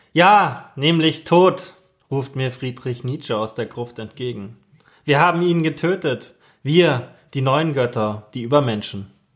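Speech moves at a very slow pace with ordinary pitch variation. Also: man, fairly high pitch for a man. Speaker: preacher and theology student. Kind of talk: sermon. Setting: church sermon, recorded. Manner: solemn, measured, rhetorical delivery.

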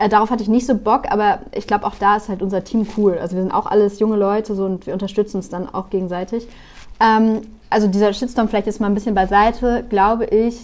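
Very fast, flat, monotone speech from a woman with a fairly high pitch. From northern Germany (Bremen). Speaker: journalist. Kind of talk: interview.

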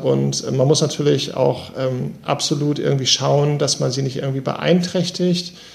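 A man's voice against noticeable background noise. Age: 40s. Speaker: manager and person with MS. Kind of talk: interview. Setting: remote call.

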